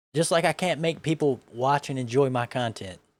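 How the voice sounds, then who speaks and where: A man talks with a Southern US accent at a fairly high pitch. His pitch varies in an ordinary way. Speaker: vtuber reacting to videos. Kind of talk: casual commentary.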